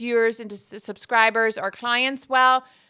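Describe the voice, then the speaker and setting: Her voice is high in pitch. The woman speaks in an animated tone. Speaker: podcast host and YouTuber. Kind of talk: solo tips talk to camera. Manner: fast.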